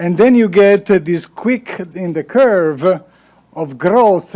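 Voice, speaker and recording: At a fairly slow pace, a man talks at a high pitch with ordinary pitch variation. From Italy. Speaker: panel chair, research executive and scientist. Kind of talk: panel moderation, opening remarks. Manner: hesitant, with many filler sounds.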